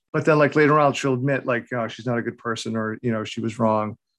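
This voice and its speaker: A man with an American accent, very fast pace and ordinary pitch variation. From New England. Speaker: horror author. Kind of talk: casual interview.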